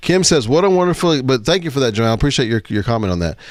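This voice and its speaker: Loud and animated, a man with a medium pitch speaks. His pitch swings very widely. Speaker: live show host. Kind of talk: casual panel chat.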